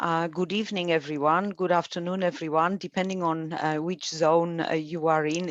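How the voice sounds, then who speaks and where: Against a quiet background, a woman talks with a Polish accent at a moderate pace. Her pitch is fairly low and her intonation fairly even. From Poland. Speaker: academic coordinator and webinar moderator. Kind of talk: webinar introduction. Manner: halting, many fillers.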